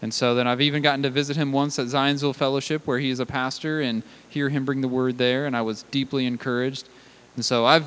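Talking at a fairly quick pace, a man with a plain, everyday voice keeps a fairly high pitch and fairly even intonation. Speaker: pastor. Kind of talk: sermon. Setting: church.

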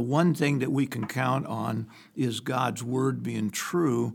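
Very slow pace from a man of medium pitch, with ordinary pitch variation and vocal fry. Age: 70s. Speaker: pastor. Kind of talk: casual chat.

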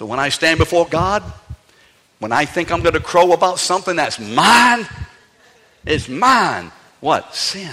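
An animated man with an American accent, a high pitch, very wide pitch swings and long, frequent pauses. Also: fairly slow pace. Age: 60s. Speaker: pastor. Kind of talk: sermon. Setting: church. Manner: animated, humorous.

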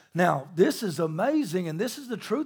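Moderate-paced speech with very wide pitch swings over music in the background. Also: man. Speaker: pastor. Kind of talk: sermon. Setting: church. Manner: quiet.

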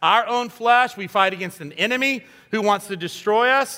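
The voice is raised and projected, with a bright, sharp tone. Its pace is moderate. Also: man. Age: 50s. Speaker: guest pastor. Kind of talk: sermon. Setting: church. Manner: animated.

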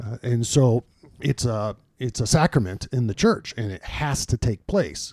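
Here is a man with an ordinary speaking voice and a medium pitch. He speaks at a fairly slow pace with ordinary pitch variation, on a very clean recording with a silent background. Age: 50s. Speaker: senior pastor. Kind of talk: casual chat. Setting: studio.

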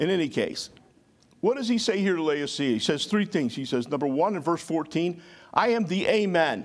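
A man talks at high pitch and a moderate pace, his tone animated and his intonation lively. The recording is very clean, with a silent background. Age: 60s. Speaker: pastor. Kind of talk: sermon. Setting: church with congregation.

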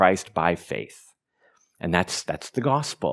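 Speaking fairly slowly with lively intonation, a man uses an unremarkable speaking voice in a very clean recording with a silent background. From Oregon, US. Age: 50s. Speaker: pastor. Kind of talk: sermon. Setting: church.

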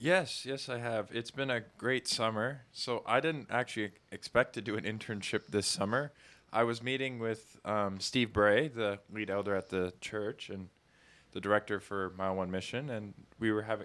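Moderate pace and a plain, everyday voice, captured very cleanly against a silent background. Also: man. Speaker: church summer intern, engineering student. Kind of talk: casual interview chat.

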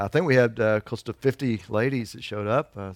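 Recorded very cleanly with a silent background and a dry, close sound with no echo, a man with an unremarkable speaking voice talks at a medium pitch and a moderate pace with ordinary pitch variation. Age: 50s. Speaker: pastor. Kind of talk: sermon.

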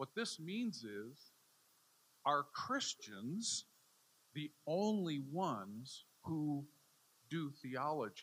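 Speaking in an American accent, a man has a fairly high pitch that swings very widely. His pace is very slow, with long, frequent pauses. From US Midwest, Chicago area. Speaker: theology professor. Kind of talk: lecture.

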